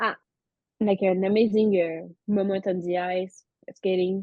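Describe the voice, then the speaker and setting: A woman speaks with a French accent at a medium pitch. Her intonation is monotone and flat, and her pace is fairly slow. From France. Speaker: former synchronized skater. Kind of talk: podcast interview.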